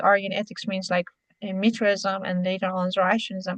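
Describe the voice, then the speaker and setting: This woman's somewhat breathy voice sits at a medium pitch. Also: dry, close sound with no echo. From Iran. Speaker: interview guest on history. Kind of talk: interview. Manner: halting, many fillers.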